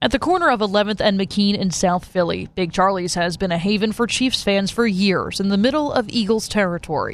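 An ordinary speaking voice moves at a fairly quick pace with hardly any pauses and ordinary pitch variation. Loudness stays very even over a quiet background. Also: woman, medium pitch for a woman. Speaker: radio news anchor. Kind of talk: news reading. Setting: radio studio. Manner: polished, even, authoritative anchor delivery.

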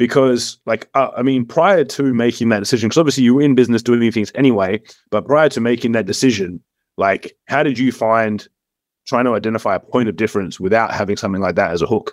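On a very clean recording with a silent background, a man speaks at a very fast pace. His voice sits at a medium pitch with ordinary variation. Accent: Australian. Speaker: podcast host. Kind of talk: casual interview chat.

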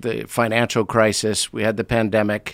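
A man with a plain, everyday voice, fairly low in pitch and with an American accent, speaks at a moderate pace in a very clean recording with a silent background. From United States. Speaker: leadership consultant and author. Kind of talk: interview conversation. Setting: studio.

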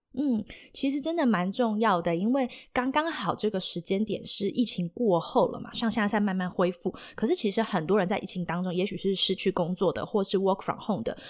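With an ordinary speaking voice, a woman talks at medium pitch and a fairly quick pace with lively intonation, in a very clean recording with a silent background. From Taiwan, Taipei. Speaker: podcast host. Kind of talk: casual interview.

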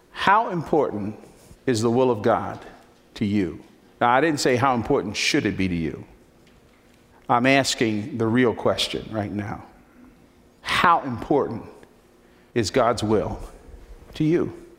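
A man with an American accent at medium pitch, fairly slow with long, frequent pauses, lively intonation and audible room echo. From New Jersey, Newark. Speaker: pastor. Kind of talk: sermon. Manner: animated.

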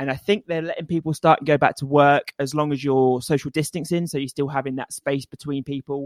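A man with an East Anglian accent, fairly high in pitch, fairly even in intonation, in a dry, close sound with no echo. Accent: English (East Anglia). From England. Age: 30s. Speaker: obstacle racing and triathlon coach. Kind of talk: casual interview. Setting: remote call over internet.

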